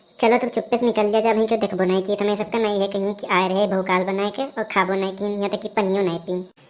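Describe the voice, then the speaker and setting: A cartoonish character voice, female-sounding, at a medium pitch for a woman, very fast with hardly any pauses. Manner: chatty, complaining.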